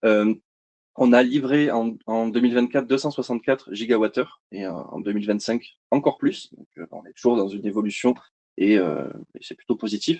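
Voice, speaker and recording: At a moderate pace, a man speaks with a medium pitch, ordinary pitch variation and a dark, mellow tone. His loudness swings a lot, and the sound is dry and close with no echo. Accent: slight southern French. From southern France, Montpellier. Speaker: energy company sales representative. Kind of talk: webinar presentation. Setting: online webinar. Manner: hesitant, many fillers.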